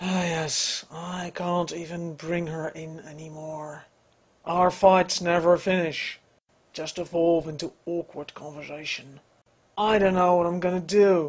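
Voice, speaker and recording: A put-on character voice sits at a middle pitch. It is fairly slow, with monotone, flat intonation. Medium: dub. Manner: flustered, sarcastic.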